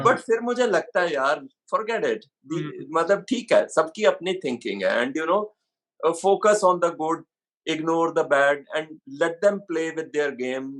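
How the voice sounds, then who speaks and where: His voice is high-pitched for a man, with lively intonation. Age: 60s. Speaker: actor and model. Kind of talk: interview answer.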